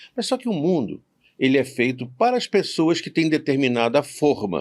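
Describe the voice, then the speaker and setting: Pitched fairly high, a man's voice swings very widely in pitch over a very clean recording with a silent background. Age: 70s. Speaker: university professor. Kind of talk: podcast interview.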